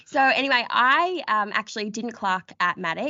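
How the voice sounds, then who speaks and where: A woman speaks with an Australian accent at a moderate pace. Her intonation is lively. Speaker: podcast host, lawyer. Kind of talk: casual chat.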